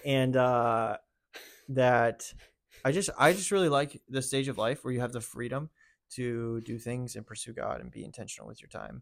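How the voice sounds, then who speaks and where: A man with an American accent uses an ordinary speaking voice at a medium pitch and moderate pace. His pitch variation is ordinary, while his loudness swings widely. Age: 20s. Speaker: youth pastor. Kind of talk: casual chat.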